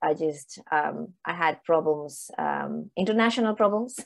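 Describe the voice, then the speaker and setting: Woman's voice, fairly low in pitch, fairly slow pace, quiet background. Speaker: panel moderator. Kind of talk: conference moderation intro. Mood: friendly, slightly apologetic, laughing. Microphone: earbuds.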